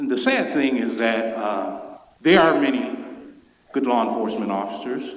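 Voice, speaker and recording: A man with a Memphis accent, audible room echo, and noticeable background noise. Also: moderate pace. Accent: Southern US (Memphis). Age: 60s. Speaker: public commenter. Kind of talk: public comment at council meeting. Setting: council chamber.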